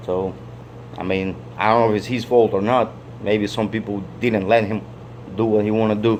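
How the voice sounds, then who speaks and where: Medium-pitched male speech at a moderate tempo, noticeable background noise behind it. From Soviet Union (Russia/Ukraine). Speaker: vlogger. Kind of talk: casual monologue. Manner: halting, repetitive.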